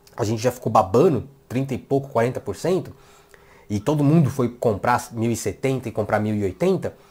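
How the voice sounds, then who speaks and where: Somewhat breathy, a man speaks in an animated tone with very wide pitch swings. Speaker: tech youtuber. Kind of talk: tech commentary video. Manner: fast.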